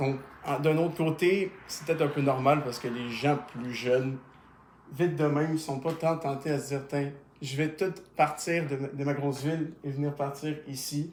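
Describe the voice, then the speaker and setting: At a moderate pace, a man with an unremarkable speaking voice talks in a fairly high pitch and fairly even intonation. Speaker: YouTuber. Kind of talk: casual interview.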